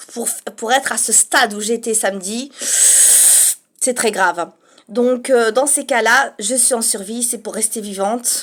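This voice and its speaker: A soft-spoken woman talks with fairly high pitch and ordinary pitch variation. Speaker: vlogger. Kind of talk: casual monologue. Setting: home studio apartment. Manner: speaking softly.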